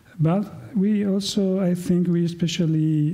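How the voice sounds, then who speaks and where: With an Italian accent, a man speaks in a dark, mellow, somewhat breathy tone, and room echo is audible. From Italy. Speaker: professor. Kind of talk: conference talk. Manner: halting, with fillers.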